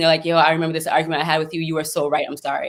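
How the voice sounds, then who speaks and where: A woman speaks loudly at a fairly low pitch, her tone bright and sharp. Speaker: mental health speaker. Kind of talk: panel discussion. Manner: talkative.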